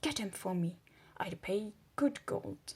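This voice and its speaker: A woman puts on a character voice at a medium pitch and speaks at a fairly slow pace. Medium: read story. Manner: blunt, curt commands.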